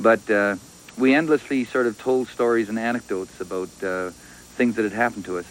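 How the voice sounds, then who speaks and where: Over noticeable background noise, a man with a western Canadian accent talks at a fairly quick pace and medium pitch. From western Canada, British Columbia. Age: 40s. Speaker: poet. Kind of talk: interview. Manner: halting, many fillers.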